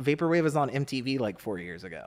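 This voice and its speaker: The man speaks in an animated tone with ordinary pitch variation. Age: 30s. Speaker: digital artist. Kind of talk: casual chat. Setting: studio.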